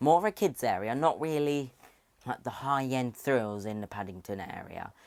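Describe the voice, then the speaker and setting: With a British accent and medium pitch, a man speaks at a moderate pace with lively intonation and big swings in loudness, in a very clean recording with a silent background. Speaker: theme park YouTuber. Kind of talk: casual video commentary. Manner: animated.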